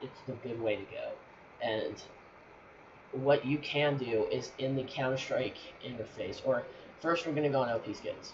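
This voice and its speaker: Noticeable background noise sits behind the voice. The pace is moderate, broken by long, frequent pauses. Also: man. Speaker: gaming channel creator. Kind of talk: tutorial. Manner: halting, stuttering; casual, filler-heavy. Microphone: poor mic quality.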